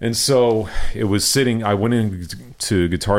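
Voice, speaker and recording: A man with an American accent talks at a fairly slow pace with lively intonation. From Houston, Texas. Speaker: drummer. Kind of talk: casual interview chat.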